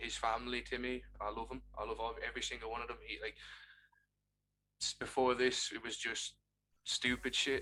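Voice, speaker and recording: A man speaks in an Irish accent. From Ireland. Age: 20s. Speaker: streamer. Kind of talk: casual chat.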